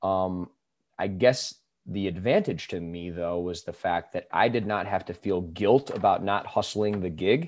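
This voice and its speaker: A man talks at a moderate pace with a fairly low pitch and fairly even intonation. The recording is very clean with a silent background. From US Midwest. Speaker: singer-songwriter and musician. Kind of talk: casual interview conversation.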